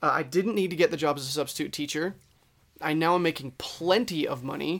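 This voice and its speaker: A man speaks in a normal speaking voice at a fairly high pitch, with ordinary pitch variation and a fairly quick pace. The recording is very clean, with a silent background. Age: 20s. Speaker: podcast co-host. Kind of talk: casual chat.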